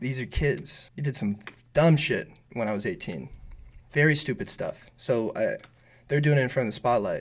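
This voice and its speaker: With an American accent, a man speaks in a somewhat breathy, fairly high voice with lively intonation. He keeps a moderate pace, broken by long, frequent pauses. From US West Coast, San Francisco Bay Area. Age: 20s. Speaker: rapper. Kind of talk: casual interview. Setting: studio.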